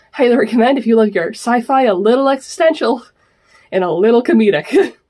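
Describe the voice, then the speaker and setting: A woman talks at a very fast pace with lively intonation. Her tone is dark and mellow, her pitch fairly high. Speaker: manga YouTuber. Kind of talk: casual manga haul review. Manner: animated, enthusiastic.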